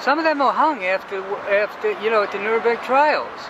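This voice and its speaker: Over noticeable background noise, a man with an American accent speaks high for a man at a moderate pace, with ordinary pitch variation. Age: 60s. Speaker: military veteran and peace activist. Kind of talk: street interview. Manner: animated.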